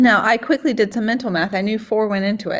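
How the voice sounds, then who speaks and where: A woman with a fairly high-pitched, somewhat breathy voice speaks with ordinary pitch variation. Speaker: math teacher. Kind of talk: tutorial. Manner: casual, with fillers.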